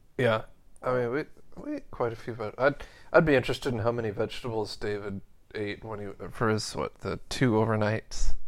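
A man with a medium-pitched voice talks at a fairly quick pace, his loudness swinging widely while his intonation stays fairly even. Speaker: podcast co-host. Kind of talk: casual chat. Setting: home recording.

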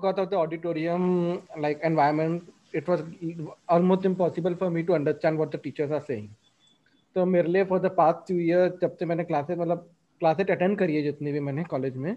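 With a dark, mellow tone, a man speaks in a high pitch at a moderate pace, his intonation fairly even. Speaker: podcast host, recent graduate. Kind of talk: casual chat.

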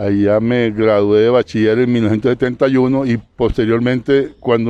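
Here a man speaks at a medium pitch in a monotone, flat intonation. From Colombian Caribbean coast, Santa Marta. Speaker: civil engineer, sports institute official. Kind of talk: radio interview. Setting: outdoors.

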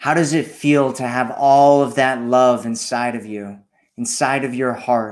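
Speaking fairly slowly, a man uses a normal speaking voice at medium pitch with fairly even intonation. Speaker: meditation guide. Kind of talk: guided meditation. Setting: solo recording, addressing listener. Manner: slow, calm, soothing, with long pauses; gentle, repetitive, hypnotic cadence.

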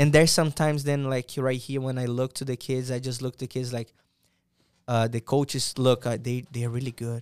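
A man with a Portuguese accent speaks at a fairly quick pace and a medium pitch in a monotone, flat intonation. The recording is very clean with a silent background, and the sound is dry and close with no echo. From Brazil, Santos. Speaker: soccer player and coach. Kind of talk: casual interview.

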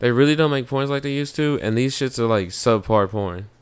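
A man talks at a fairly quick pace with a medium pitch and ordinary pitch variation. It is an unremarkable speaking voice. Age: 30s. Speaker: podcast co-host. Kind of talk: casual chat.

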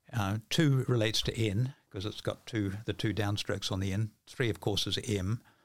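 In a New Zealand accent, the speaker keeps a moderate pace and fairly even intonation with hardly any pauses, in a very clean recording with a silent background. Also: man, fairly low pitch for a man. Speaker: author and mentalist. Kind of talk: casual interview chat. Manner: halting, repeats words.

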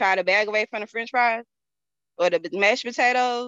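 The voice has a bright, sharp tone in a Southern US accent. The sound is dry and close, with no echo. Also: woman. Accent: Southern US (Georgia). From Georgia, US South. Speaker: network marketing distributor. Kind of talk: interview. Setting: video call.

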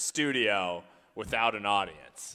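A man speaks in an ordinary speaking voice. His intonation is lively and his pace fairly slow. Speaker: comedy game show co-host. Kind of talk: casual comedic banter. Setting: comedy club webcast.

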